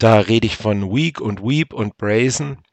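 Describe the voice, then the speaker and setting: Speaking very slowly, a man with a fairly low pitch and ordinary pitch variation is heard against a quiet background in a dry, close sound with no echo. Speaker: podcast host. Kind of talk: solo casual monologue. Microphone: testing a new simple headset setup.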